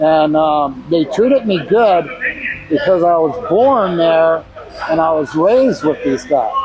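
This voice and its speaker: With an American accent, a man speaks at a fairly slow pace in a high pitch, his intonation lively and his loudness very even, against noticeable background noise. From Southern California (San Diego, near Mexican border). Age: 60s. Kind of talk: documentary interview.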